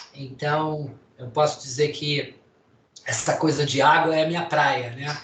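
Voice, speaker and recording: In a room with audible echo, a man speaks at a fairly slow pace with a fairly high pitch and monotone, flat intonation. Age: 60s. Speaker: doctor and lecturer. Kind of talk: lecture. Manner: casual.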